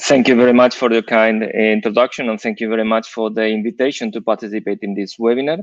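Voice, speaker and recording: In a dry, close sound with no echo, a man rattles along at a very fast pace with hardly any pauses, keeping a medium pitch and fairly even intonation. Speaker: computer science professor. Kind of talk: webinar presentation. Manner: halting.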